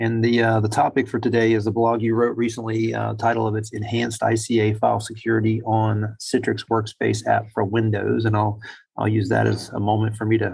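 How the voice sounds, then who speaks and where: A man talks at a fairly quick pace with hardly any pauses, his pitch medium for a man. His voice is somewhat breathy and his intonation monotone and flat. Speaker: podcast host. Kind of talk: casual chat. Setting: airport.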